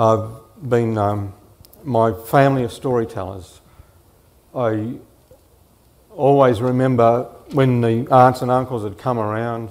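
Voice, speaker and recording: At a fairly slow pace, a man with an Australian accent and medium pitch speaks with long, frequent pauses. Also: fairly even intonation. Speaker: author. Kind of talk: panel talk and reading aloud.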